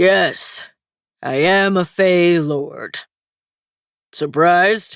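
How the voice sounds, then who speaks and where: A gruff, rumbling, growling put-on character voice speaks at a middle pitch and a very slow pace. Long, frequent pauses break it up, and the recording is very clean with a silent background. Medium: read story. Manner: gruff, grumbling.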